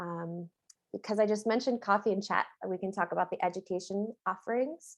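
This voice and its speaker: In a normal speaking voice, a woman talks at a fairly quick pace with an American accent and ordinary pitch variation against a quiet background. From US West Coast. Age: 40s. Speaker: nonprofit executive director. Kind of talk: virtual presentation. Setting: video call.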